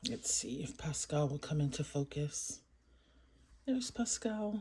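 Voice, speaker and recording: A quiet, somewhat breathy woman's voice with a very deep, low pitch, lively intonation and a fairly slow pace. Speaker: toy unboxing youtuber. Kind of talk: toy unboxing review. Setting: at home. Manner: quiet, muted.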